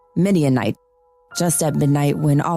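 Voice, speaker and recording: A woman's very deep, low voice with ordinary pitch variation, music in the background. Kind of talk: dramatic story reading.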